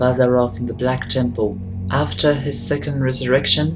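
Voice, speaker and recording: A woman speaks at a moderate pace in a very deep, low voice. It sounds somewhat breathy. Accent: French. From France. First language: French. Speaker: gaming lore video creator. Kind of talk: scripted narration.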